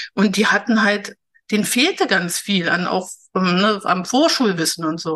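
A woman speaks at a moderate pace. Her tone is bright and sharp, with lively intonation. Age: 60s. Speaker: learning coach. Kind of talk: interview.

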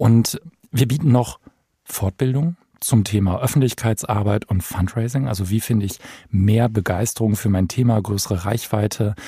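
Somewhat breathy male voice, fairly low in pitch, dark and mellow in tone, with ordinary pitch variation at a moderate pace. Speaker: foundation managing director. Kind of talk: interview. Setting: studio.

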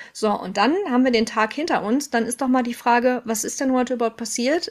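A woman with a high voice speaks at a fairly quick pace, her intonation fairly even. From Ruhr area, Germany. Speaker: mental load expert and trainer. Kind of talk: casual interview chat.

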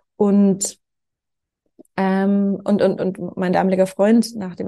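The tone is dark and mellow, and somewhat breathy. The sound is dry and close, with no echo. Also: woman. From Franconia, Germany (small village). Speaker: co-founder of a foreign policy organisation, scholarship alumna. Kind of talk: interview. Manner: many filler sounds (ähm).

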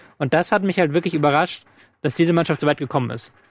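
With a dry, close sound and no echo, a man speaks very fast at a fairly high pitch with fairly even intonation. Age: 30s. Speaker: football podcast co-host. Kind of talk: casual chat.

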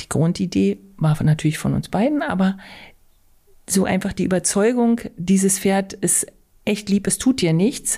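Pausing often and at length, a woman speaks at a medium pitch in a somewhat breathy voice with ordinary pitch variation. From Altmark, northern Saxony-Anhalt. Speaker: riding stable owner. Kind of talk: podcast interview.

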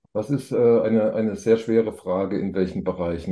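At a fairly quick pace, a man uses a normal speaking voice with medium pitch and ordinary pitch variation. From Thuringia, eastern Germany. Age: 50s. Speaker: business angel investor. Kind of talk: podcast interview.

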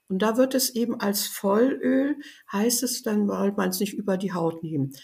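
Her dark, mellow voice sits at a medium pitch with vocal fry and lively intonation. She speaks at a moderate pace on a very clean recording with a silent background. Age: 80s+. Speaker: biologist and aromatherapy author. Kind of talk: interview conversation.

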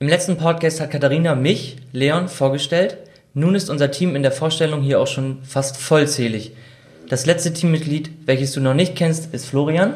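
A man speaks in a somewhat breathy voice at a fairly high pitch. His intonation stays fairly even. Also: moderate pace. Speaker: intern interviewer. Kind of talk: interview.

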